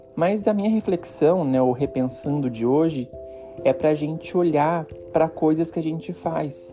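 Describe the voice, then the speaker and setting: Music sits in the background. Over it, the man speaks with lively intonation. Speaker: podcast host. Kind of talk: reflective personal podcast monologue.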